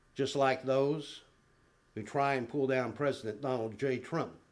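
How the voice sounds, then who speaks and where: Audible room echo surrounds a man speaking at a medium pitch and a fairly slow pace. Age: 60s. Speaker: public commenter at city council meeting. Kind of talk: public comment speech. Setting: city council chamber.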